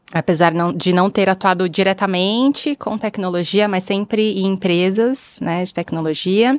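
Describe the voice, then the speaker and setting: A woman speaks fairly slowly at medium pitch, with hardly any pauses and ordinary pitch variation. The sound is dry and close with no echo, though there is noticeable background noise. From Brazil. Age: 30s. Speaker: bank product executive. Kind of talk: video podcast interview.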